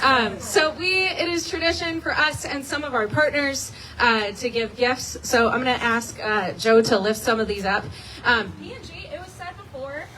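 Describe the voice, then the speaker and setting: Noticeable background noise accompanies a woman with a high pitch. Her intonation is lively, and her loudness swings widely. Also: moderate pace. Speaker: nonprofit volunteer coordinator. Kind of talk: ceremony speech. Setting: outdoors, rain.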